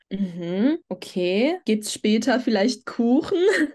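In a quiet background, a woman speaks at a fairly slow pace. Her intonation is lively. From Germany, Würzburg area; Germany. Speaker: podcast guest. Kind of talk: casual chat. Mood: relaxed, reflective. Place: home room. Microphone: video call.

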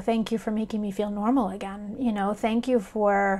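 A woman speaks at a very fast pace with a fairly high pitch. The background is quiet. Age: 40s. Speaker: breast cancer survivor and author. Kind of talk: personal video blog. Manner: casual, with frequent fillers. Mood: earnest, relieved, emotional. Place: home room. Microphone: webcam.

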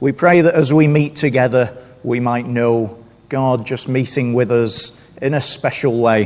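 Speaking very slowly, a man lets his pitch rise and fall in a normal way. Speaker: visiting preacher. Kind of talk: sermon. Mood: solemn, reflective. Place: church.

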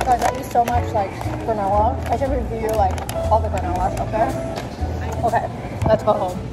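The pace is fairly quick. Loud music plays in the background. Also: woman. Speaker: vlogger. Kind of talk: casual vlog chat. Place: shop. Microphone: phone near.

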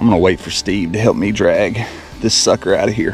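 With faint music in the background, a man speaks at a fairly low pitch.

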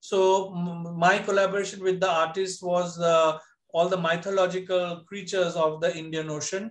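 Against a quiet background, a man with a high pitch talks at a moderate pace in a monotone, flat intonation. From India, Bengal tea garden region; India. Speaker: textile artisan; panelist. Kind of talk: presentation. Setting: video call. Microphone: video call.

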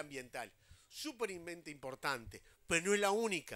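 A man's bright, sharp voice, high-pitched, with very wide pitch swings. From Uruguay. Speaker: housing agency head. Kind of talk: public speech. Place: open country. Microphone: handheld.

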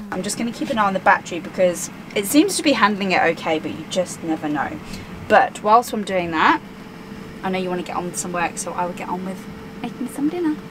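Talking at a very fast pace, a woman's loudness swings widely amid noticeable background noise. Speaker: travel vlogger. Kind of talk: casual vlog chat. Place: home room.

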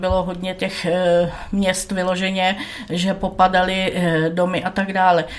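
A woman's intonation stays flat and monotone while noticeable noise sits in the background. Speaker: guest living in Italy. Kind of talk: casual talk show interview. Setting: studio.

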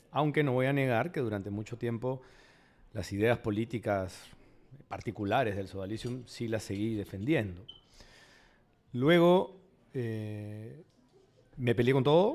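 A man talks fairly slowly at a medium pitch with ordinary pitch variation. Long, frequent pauses break up his speech. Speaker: psychoanalyst and writer. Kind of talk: panel discussion.

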